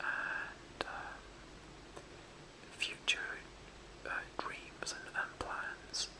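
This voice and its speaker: The voice is a whisper. Noticeable background noise is present. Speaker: ASMR whisperer. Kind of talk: casual whispered chat to camera. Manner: whispered.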